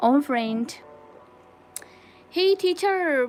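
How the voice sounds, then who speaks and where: There is music in the background. A woman speaks with a Nepali accent. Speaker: crochet livestreamer. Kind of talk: casual livestream chat.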